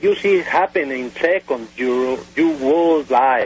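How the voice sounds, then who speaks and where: Speaking at a very slow pace, a man talks in a Spanish accent. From Mexico. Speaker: airline pilot, UFO witness. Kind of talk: radio interview testimony. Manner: halting, many hesitations.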